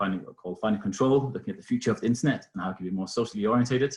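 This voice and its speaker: This man's voice is somewhat breathy. He speaks with a slight Danish accent. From Denmark. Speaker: innovation foundation researcher. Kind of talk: webinar presentation. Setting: video call webinar. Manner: hesitant, many fillers.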